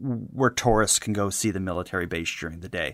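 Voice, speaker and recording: In a very clean recording with a silent background, a man with a fairly low pitch speaks with fairly even intonation. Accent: Maritime Canadian. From Canada, Halifax, Nova Scotia. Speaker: podcast host. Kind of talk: casual true crime discussion.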